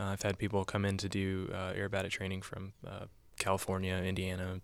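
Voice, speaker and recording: A man with an American accent speaks at a very deep, low pitch and a fairly quick pace. The recording is very clean, with a silent background. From US South, Georgia. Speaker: flight instructor. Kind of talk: interview. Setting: studio. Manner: halting, many fillers.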